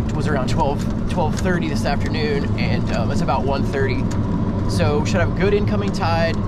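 Loud noise fills the background behind a man. He talks at a moderate pace, and the sound is dry with no echo. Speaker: fishing vlogger. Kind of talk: casual vlog chat. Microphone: phone near.

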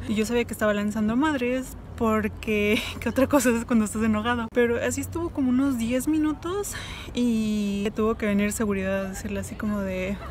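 A woman speaks at a fairly quick pace on a dry recording with no echo and light background noise. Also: ordinary pitch variation. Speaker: travel vlogger. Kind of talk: casual vlog chat. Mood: amused, laughing. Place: street. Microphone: phone near.

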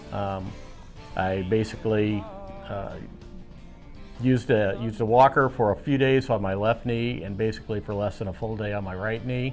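Faint music plays behind a man whose fairly low voice, with ordinary pitch variation, moves at a moderate pace broken by long, frequent pauses. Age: 60s. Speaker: knee replacement patient. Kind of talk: patient testimonial. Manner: casual, hesitant. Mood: pleased, upbeat. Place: hall.

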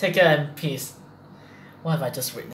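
A man rattles off his words at a very fast pace amid audible room echo. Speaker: reaction video host. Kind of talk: casual vlog chat. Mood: nervous, laughing, freaked out. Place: home room. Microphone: webcam.

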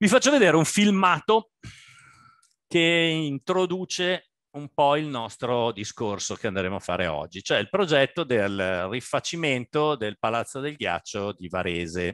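Against a quiet background, a man speaks at a fairly high pitch and a fairly slow pace, with very wide pitch swings. The sound is dry, with no echo. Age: 60s. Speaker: architect. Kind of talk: lecture. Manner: halting. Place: home room. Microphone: headset.

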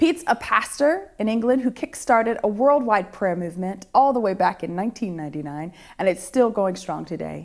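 A woman with an American accent speaks at a moderate pace with hardly any pauses. Her pitch swings very widely against a quiet background. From Ohio, US. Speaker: course host. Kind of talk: interview. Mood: warm, enthusiastic. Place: studio.

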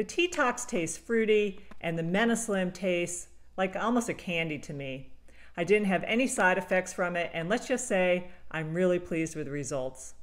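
At medium pitch and a moderate pace, a woman with an unremarkable speaking voice talks with lively intonation. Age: 50s. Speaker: travel vlogger reviewing products. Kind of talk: product review monologue.

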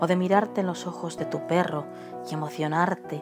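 Music plays in the background. Over it, a woman talks at a fairly slow pace. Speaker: voice-over artist. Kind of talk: poetry reading.

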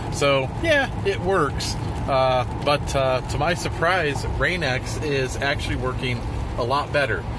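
A man talks at a very slow pace. The sound is dry with no echo, and background noise is noticeable. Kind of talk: casual vlog commentary. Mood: mildly surprised, amused. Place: car. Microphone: phone near.

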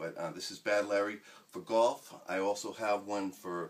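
A man with an ordinary speaking voice talks at a moderate pace, his pitch fairly low and his intonation fairly even. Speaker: home inventor demonstrating golf trainer. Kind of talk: casual tutorial vlog chat. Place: home room. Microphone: camera far.

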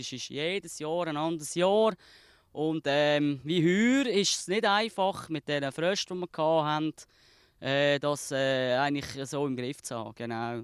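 Over a quiet background, a man speaks at a fairly high pitch and a moderate pace, in a dry sound with no echo. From Switzerland. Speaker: fruit farmer. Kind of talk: interview answer. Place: farm.

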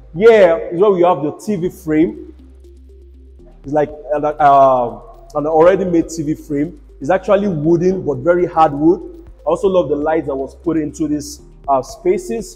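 A man at a fairly slow pace, with ordinary pitch variation and faint music in the background. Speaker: real estate tour host. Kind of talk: property tour commentary. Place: home room. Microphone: lapel.

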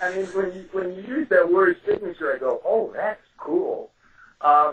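A man speaks in a New York accent. He goes at a fairly slow pace. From New York City, Brooklyn. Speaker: true crime author. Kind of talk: casual chat.

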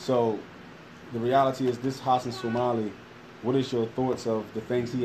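Fairly quick, fairly even speech from a man in a Philadelphia accent, with noticeable background noise. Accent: Philadelphia American English. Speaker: podcast co-host. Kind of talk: interview. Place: classroom. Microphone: phone near.

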